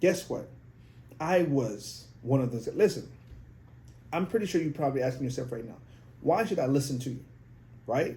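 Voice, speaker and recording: In a room with audible echo, a man speaks at a moderate pace and a fairly high pitch, with a dark, mellow, somewhat breathy tone, lively intonation, big swings in loudness, and long, frequent pauses. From outside the US, came at sixteen. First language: not English. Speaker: podcast host, life coach for men. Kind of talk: motivational monologue. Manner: animated.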